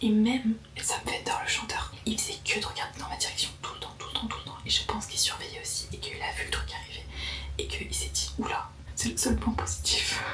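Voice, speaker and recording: A woman whispers at a fairly quick pace over noticeable background noise, with audible room echo. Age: 20s. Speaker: vlogger. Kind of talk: casual vlog storytelling. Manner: whispering; animated.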